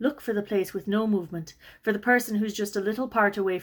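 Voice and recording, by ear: The voice reads aloud naturally. It is a passage read out without any strain.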